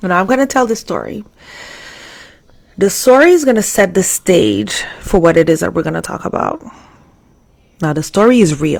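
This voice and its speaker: A woman speaks at a medium pitch with lively intonation and some vocal fry. She leaves long, frequent pauses. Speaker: live stream host. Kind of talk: live stream talk. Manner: fast.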